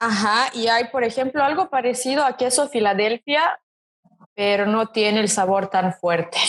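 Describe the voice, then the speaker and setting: At a moderate pace and very even loudness, a woman with a fairly high pitch speaks with lively intonation. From Serbia. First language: Serbian (speaking Spanish). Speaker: model, interview guest. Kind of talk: casual interview chat.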